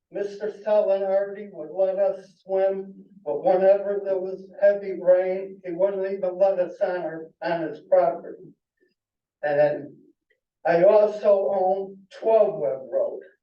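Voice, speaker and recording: In a room with audible echo, a man with a high pitch talks at a very slow pace and with fairly even intonation. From Connecticut, US (Naugatuck area). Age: 70s. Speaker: local resident giving public comment. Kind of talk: public comment at a town meeting.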